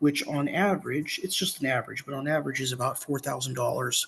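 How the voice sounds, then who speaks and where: A man's bright, sharp, medium-pitched voice carries vocal fry and fairly even intonation. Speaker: sociology instructor. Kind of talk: recorded lecture. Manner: halting, many fillers.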